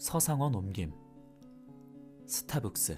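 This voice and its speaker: Over music in the background, a man speaks at a very slow pace in a calm tone, his pitch moving in very wide swings. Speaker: audiobook narrator. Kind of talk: audiobook reading. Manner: calm, soft-spoken.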